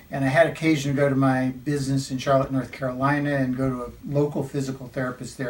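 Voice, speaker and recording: Noticeable background noise sits under a man speaking at a fairly quick pace. His medium-pitched voice is monotone, with flat intonation. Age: 60s. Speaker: patient giving testimonial. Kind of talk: testimony. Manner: hesitant with fillers.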